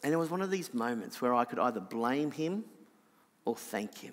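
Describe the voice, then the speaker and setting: With an Australian accent, a man talks in a fairly high pitch with lively intonation. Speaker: preacher. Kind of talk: sermon.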